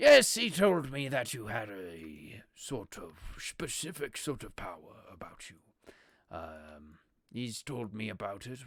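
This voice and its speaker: A man puts on a raspy character voice at medium pitch. He talks at a fairly slow pace. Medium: actual play. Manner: hesitant, filler-heavy, polite.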